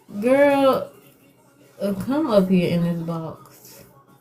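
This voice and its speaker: Music plays behind a woman who speaks very slowly. Her intonation is lively, and room echo is audible. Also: long, frequent pauses. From New York. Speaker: psychic medium. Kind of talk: live-stream mediumship reading. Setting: live video stream. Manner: casual, repetitive.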